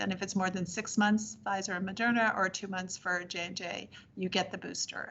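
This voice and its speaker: Woman's voice with vocal fry, monotone and flat in intonation, at a fairly quick pace. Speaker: public health official. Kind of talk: briefing to city council.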